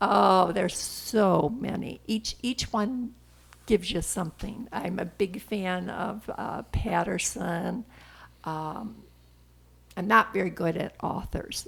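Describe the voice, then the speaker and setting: Using vocal fry, a woman speaks at a very slow pace. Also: medium pitch for a woman, ordinary pitch variation. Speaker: grandmother. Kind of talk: interview answer.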